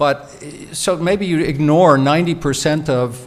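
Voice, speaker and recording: The pitch shows ordinary variation. Audible room echo fills the recording. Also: man. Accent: American. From United States. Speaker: professor, keynote speaker. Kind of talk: Q&A answer after lecture. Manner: halting, many repetitions.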